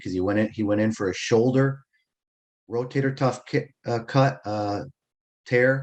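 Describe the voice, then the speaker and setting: Against a quiet background, a man at medium pitch speaks at a moderate pace with fairly even intonation. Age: 60s. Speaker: business coach and webinar presenter. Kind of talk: webinar presentation. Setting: online webinar. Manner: informal, with frequent self-corrections.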